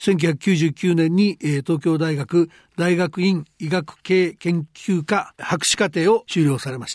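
A man's high-pitched voice with ordinary pitch variation, dry and close with no echo, on a very clean recording against a silent background. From Japan, Hyogo Prefecture. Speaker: economic journalist and program host. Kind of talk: interview.

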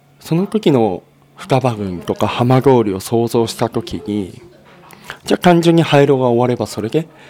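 Noticeable background noise surrounds this man. His intonation is lively and his pace moderate. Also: medium pitch for a man. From Japan, Fukushima, Futaba district (Hamadori). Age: 30s. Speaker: former nuclear plant engineer, nonprofit head. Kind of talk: interview.

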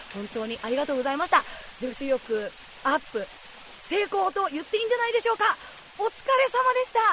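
Amid noticeable background noise, a woman with an extremely high pitch and very wide pitch swings talks at a very fast pace, broken by long, frequent pauses. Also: big swings in loudness. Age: 30s. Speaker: travel show reporter. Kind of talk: travel show narration and reactions. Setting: outdoors on location. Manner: animated.

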